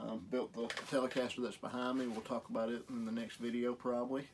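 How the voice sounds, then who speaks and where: A medium-pitched man talks with a strong Southern US accent. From US South. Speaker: guitar repair youtuber. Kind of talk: tutorial. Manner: casual, hesitant with fillers.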